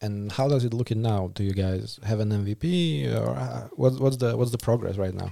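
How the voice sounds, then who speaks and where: With a Slovak accent, the speaker talks with hardly any pauses and very wide pitch swings over noticeable background noise. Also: man, fairly low pitch for a man, moderate pace. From Slovakia. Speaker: podcast host. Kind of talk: casual interview.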